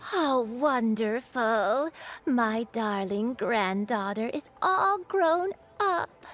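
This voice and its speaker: A woman puts on a character voice, very slow, fairly high in pitch, with very wide pitch swings. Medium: video game. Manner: soft, gentle.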